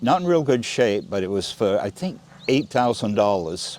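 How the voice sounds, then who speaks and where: A man with an American accent speaks at a fairly quick pace. His medium-pitched voice has very wide pitch swings. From Maine, US (Round Pond). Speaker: oral history interviewee. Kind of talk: interview. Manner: halting, with repetitions.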